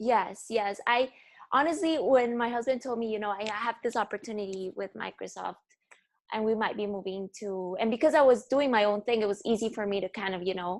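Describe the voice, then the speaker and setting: Fairly high-pitched woman with a Spanish accent and ordinary pitch variation, in a very clean recording over a silent background. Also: fairly quick pace. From Bolivia, La Paz. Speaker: fashion photographer. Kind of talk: podcast interview.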